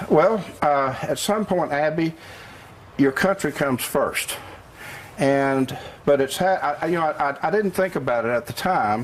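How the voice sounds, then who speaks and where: With a Tennessee accent and a fairly high pitch, this man speaks with long, frequent pauses over noticeable background noise. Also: ordinary pitch variation, fairly slow pace. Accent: Southern US (Tennessee). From US South, Cleveland, Tennessee. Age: 60s. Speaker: business owner. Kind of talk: TV interview. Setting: live TV remote interview.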